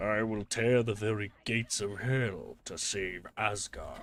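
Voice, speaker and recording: Putting on a guttural character voice, a man speaks at medium pitch in a flat monotone at a fairly slow pace. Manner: dramatic, heroic.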